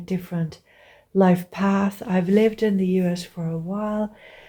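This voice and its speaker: A woman's dark, mellow, somewhat breathy voice at medium pitch, with fairly even intonation and a fairly slow pace. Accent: Finnish. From Finland. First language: Finnish. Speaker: visual artist. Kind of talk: personal monologue. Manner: hesitant, with filler sounds.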